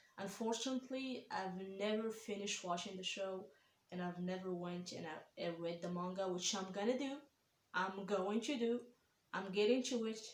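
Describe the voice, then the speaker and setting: A woman speaks with a non-native accent. Her voice carries audible room echo. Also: medium pitch for a woman, ordinary pitch variation, moderate pace. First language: not English. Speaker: anime reaction YouTuber. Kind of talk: casual vlog reaction. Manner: hesitant, many fillers.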